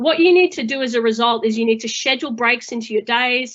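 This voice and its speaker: A woman speaks in a high pitch. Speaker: manager and webinar co-host. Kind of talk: webinar presentation. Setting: online webinar.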